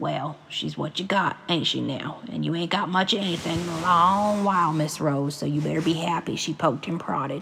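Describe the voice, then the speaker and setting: This is a put-on, raspy character voice at a middle pitch and moderate pace. Background noise is clearly audible. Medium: read story. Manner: blunt, flat.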